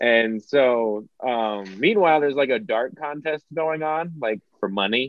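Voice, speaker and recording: A man's normal speaking voice at medium pitch, fairly slow, with lively intonation and hardly any pauses. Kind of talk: casual comedy podcast chat.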